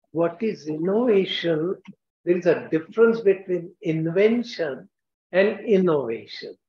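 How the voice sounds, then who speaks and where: Amid audible room echo, a man with an Indian accent speaks at a fairly slow pace with a high pitch. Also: ordinary pitch variation. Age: 80s+. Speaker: scientist and entrepreneur, keynote speaker; keynote speaker. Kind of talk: keynote lecture. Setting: stage with audience. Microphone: video call.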